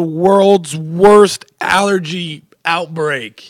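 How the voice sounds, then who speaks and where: A man with a high pitch talks very slowly, his pitch variation ordinary. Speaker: podcast guest. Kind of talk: casual chat. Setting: studio.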